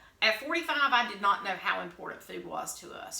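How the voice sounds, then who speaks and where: A woman talks at a fairly quick pace with very wide pitch swings and audible room echo. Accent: slight Southern US. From US South. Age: 50s. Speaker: vlogger. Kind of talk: casual chat.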